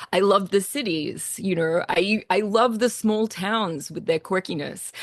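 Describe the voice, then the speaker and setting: Against a quiet background, a woman with a slight Australian accent speaks at a medium pitch. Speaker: composer. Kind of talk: talk on own work. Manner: casual, many fillers.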